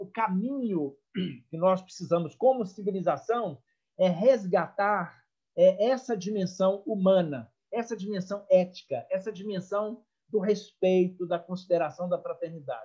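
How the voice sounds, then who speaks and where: A man's high voice with a dark, mellow tone, fairly slow, with ordinary pitch variation. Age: 60s. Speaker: psychologist. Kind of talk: online talk. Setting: video call.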